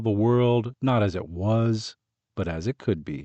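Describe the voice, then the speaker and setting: An unremarkable speaking voice from a man, medium in pitch, at a fairly slow pace. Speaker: audiobook narrator, voice artist. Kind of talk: audiobook narration.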